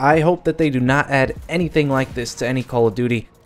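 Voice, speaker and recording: Music plays in the background as a man speaks at a fairly quick pace with ordinary pitch variation. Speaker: gaming youtuber. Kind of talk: gameplay commentary.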